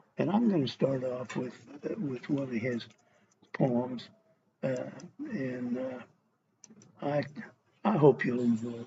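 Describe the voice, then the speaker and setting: In an American accent, a man talks at medium pitch with ordinary pitch variation and a somewhat breathy sound. His pace is very slow, with long, frequent pauses. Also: big swings in loudness. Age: 70s. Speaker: cowboy poet. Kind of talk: casual talk to camera. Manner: halting, many fillers.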